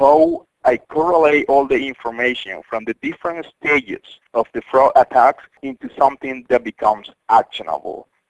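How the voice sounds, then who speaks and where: Speaking with a Spanish accent at a moderate pace and hardly any pauses, a man comes across in a dry, close sound with no echo. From Colombia. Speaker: cybersecurity company CEO. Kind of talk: interview.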